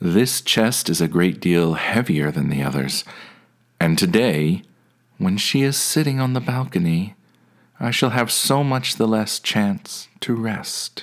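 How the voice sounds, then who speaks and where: Using a put-on character voice, a man speaks fairly low and at a fairly slow pace. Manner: commanding, then angry and tired.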